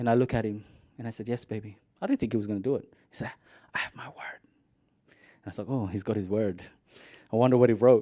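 A man's dark, mellow voice at medium pitch, very fast in pace, with big swings in loudness and long, frequent pauses. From Philippines. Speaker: aid organisation representative, guest preacher. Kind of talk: sermon.

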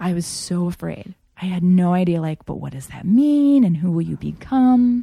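In an American accent, a woman speaks at a moderate pace with a fairly low pitch and a dark, mellow tone. Her voice is somewhat breathy, and her pitch swings very widely. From Japan (Tokyo), American missionary family. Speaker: interview guest. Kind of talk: casual chat.

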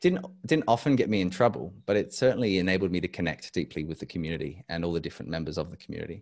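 A man with an Australian accent talks in a very deep, low register. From Adelaide, South Australia. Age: 30s. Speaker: educator and leadership consultant. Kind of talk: casual interview. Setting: video call.

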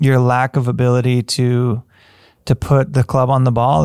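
An American man talks at a moderate pace in a plain, everyday voice, pitched in the middle range. The recording is very clean with a silent background and a dry, close sound with no echo. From US Midwest, upper Michigan. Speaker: golf coach. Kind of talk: solo podcast monologue.

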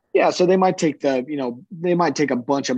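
In a Midwestern American accent, a man speaks very fast with ordinary pitch variation, the sound dry and close with no echo. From US Midwest, southeastern Iowa. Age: 20s. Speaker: farmer and agronomy entrepreneur. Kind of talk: casual interview.

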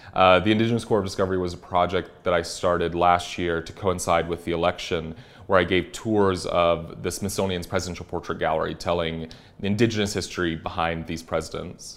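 Very deep, low-pitched man in an American accent, monotone and flat intonation, fairly quick pace. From US South, South Carolina. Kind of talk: interview.

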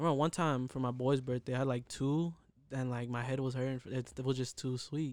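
In a very clean recording with a silent background, a man with an American accent talks at a fairly quick pace and medium pitch in a monotone, flat intonation. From Southern California, Inland Empire (Fontana). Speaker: young clothing brand entrepreneur. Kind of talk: casual chat. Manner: halting, many fillers.

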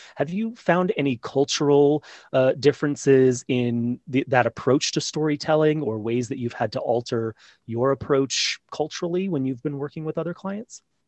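At a moderate pace, a man with an unremarkable speaking voice and fairly high pitch speaks with ordinary pitch variation. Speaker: podcast host. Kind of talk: casual interview.

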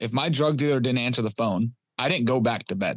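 A man's medium-pitched voice with ordinary pitch variation, dry and close with no echo, over a quiet background. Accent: Detroit. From Detroit, Michigan. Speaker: recovering addict sharing his story. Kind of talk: interview testimony.

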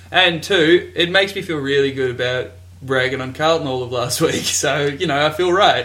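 With an Australian accent, a man speaks at a fairly high pitch. His intonation is lively, and background noise is noticeable. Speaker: podcast host. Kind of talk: casual, banter-heavy sports talk.

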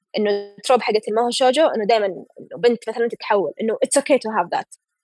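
A woman speaks at a fairly quick pace over background music, with a dry, close sound and no echo. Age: 20s. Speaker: illustrator. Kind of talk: casual chat.

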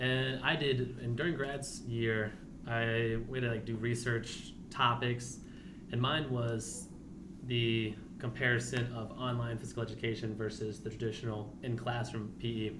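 Fairly slow and monotone, a man speaks at a medium pitch with an American accent and flat intonation. There's noticeable background noise and audible room echo. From Virginia, US. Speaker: new adapted physical education teacher. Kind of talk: casual interview.

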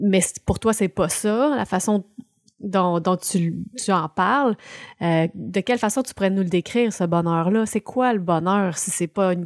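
A woman with a Quebec accent speaks at a medium pitch and a moderate pace, with ordinary pitch variation. The recording is very clean with a silent background, and the sound is dry and close with no echo. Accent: Québécois French. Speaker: podcast co-host. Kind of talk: casual chat.

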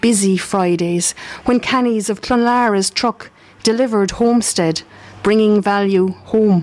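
With an Irish accent, a woman talks at a fairly slow pace and medium pitch, her intonation fairly even and her loudness very even, over noticeable background noise. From Ireland. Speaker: community radio host and writer. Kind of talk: reading aloud. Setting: live broadcast at arts festival.

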